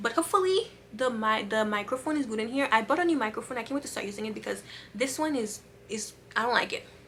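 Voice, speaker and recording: The speech comes at a very fast pace with ordinary pitch variation against noticeable background noise. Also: woman, fairly high pitch for a woman. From Haiti, raised in Massachusetts. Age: 30s. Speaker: vlogger. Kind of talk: casual vlog. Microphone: camera mic, poor.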